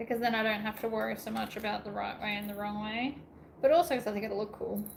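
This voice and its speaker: A woman with an Australian accent, fairly high-pitched and very fast, amid noticeable background noise. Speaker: sewing YouTuber. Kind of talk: live stream craft tutorial chat. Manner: animated.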